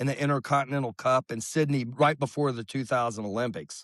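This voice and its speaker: With a normal speaking voice, a man of medium pitch talks at a fairly quick pace with fairly even intonation, the sound dry and close with no echo. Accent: American. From Oklahoma. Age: 60s. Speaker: baseball coach and former player. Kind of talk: interview.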